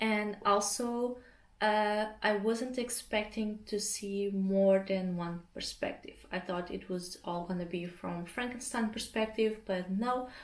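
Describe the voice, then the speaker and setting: At a fairly slow pace, a woman speaks in a relaxed tone with ordinary pitch variation and audible room echo. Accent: Portuguese. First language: Portuguese. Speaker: artist vlogger. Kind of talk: casual vlog talk. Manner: relaxed, hesitant with fillers.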